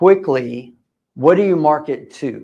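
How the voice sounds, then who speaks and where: A man speaks at a fairly slow pace. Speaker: real estate investor and seminar speaker. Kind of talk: live seminar presentation.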